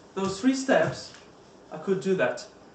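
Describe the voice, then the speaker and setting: A man speaks with lively intonation. Room echo is audible. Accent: Russian. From Russia. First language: Russian. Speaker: Toastmasters club member. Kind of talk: prepared speech. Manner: halting.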